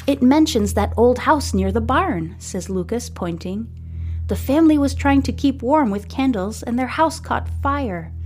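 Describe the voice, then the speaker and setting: With music in the background, a woman speaks in a gentle tone at a fairly slow pace. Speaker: podcast host and narrator. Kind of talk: audiobook-style fiction reading aloud. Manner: gentle, cozy storytelling pace.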